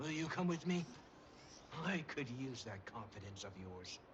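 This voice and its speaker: The speaker performs a put-on character voice. Clear background noise runs underneath. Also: man, medium pitch for a man, moderate pace. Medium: video game. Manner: dry, understated.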